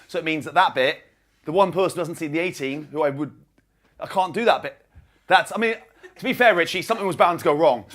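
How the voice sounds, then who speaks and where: Pitched high, a man speaks. His pitch variation is ordinary. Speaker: stand-up comedian. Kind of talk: stand-up. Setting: stage with audience. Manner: fast.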